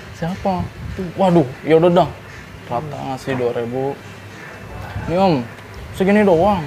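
Speech with a Jakarta accent at a moderate pace, long, frequent pauses and big swings in loudness, over light background noise. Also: man, fairly high pitch for a man, ordinary pitch variation. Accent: Jakarta Betawi-style colloquial Indonesian. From Jakarta, Indonesia. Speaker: former vocational school student telling brawl stories; interview guest. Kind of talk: casual storytelling interview. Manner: animated. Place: cafe.

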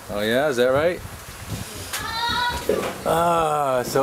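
A man speaks at a very slow pace. Crowd noise can be heard in the background. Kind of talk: casual home video questions. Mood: playful, teasing. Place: home room. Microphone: old recording.

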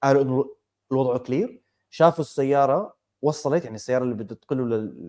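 Against a quiet background, a man talks at a fairly quick pace with a medium pitch, ordinary pitch variation and a dark, mellow tone. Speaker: podcast co-host. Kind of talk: casual chat. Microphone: earbuds.

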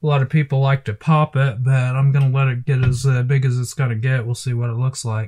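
The speaker talks very fast in an American accent with hardly any pauses. The voice is somewhat breathy and the intonation monotone and flat. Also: man, medium pitch for a man. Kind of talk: casual talk to camera. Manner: tired, low-energy.

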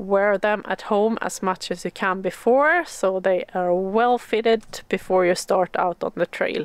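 Speaking at a fairly slow pace with ordinary pitch variation, a woman comes through in a dry sound with no echo. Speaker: outdoor hiking vlogger. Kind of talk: tutorial. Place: forest. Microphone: phone near.

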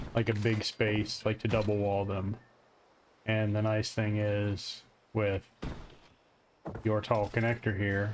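A man with a fairly low pitch speaks with an American accent. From Florida. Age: 30s. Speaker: gaming content creator. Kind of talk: casual gameplay tutorial. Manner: casual, hesitant.

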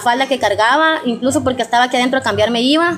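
Pitch variation is ordinary. A woman speaks at a fairly high pitch.

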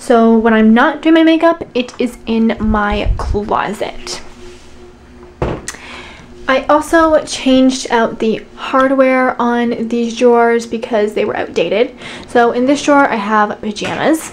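Light background noise sits behind a woman with a high pitch. She talks at a very slow pace with ordinary pitch variation. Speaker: room tour vlogger. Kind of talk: casual vlog chat. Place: home room.

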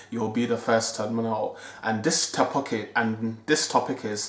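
The voice belongs to a man. The room adds an audible echo. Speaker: fitness vlogger. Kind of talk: casual vlog chat. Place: home room. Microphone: phone near.

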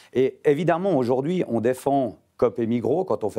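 Dark and mellow in tone, a man's voice moves through very wide pitch swings. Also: quiet background. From Geneva. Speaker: politician and winegrower. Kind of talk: TV panel debate. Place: studio. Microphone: lapel.

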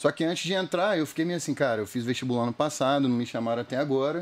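Very fast speech from a man, medium in pitch, its pitch varying in an ordinary way. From Rio de Janeiro state, Brazil (Itaipuaçu, near Niterói). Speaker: comedian impersonator. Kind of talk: casual chat.

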